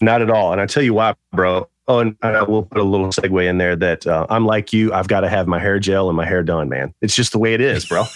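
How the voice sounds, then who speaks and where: In an ordinary speaking voice, a man with a fairly low pitch talks at a fairly quick pace with hardly any pauses, ordinary pitch variation and very even loudness, the sound dry and close with no echo. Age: 40s. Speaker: fashion designer and actor. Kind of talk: casual interview chat.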